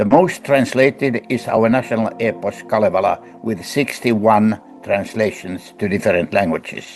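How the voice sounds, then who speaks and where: Music plays behind a man with a Finnish accent. He talks at a moderate pace and medium pitch. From Finland. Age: 80s+. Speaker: professor and book editor. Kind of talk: interview answer.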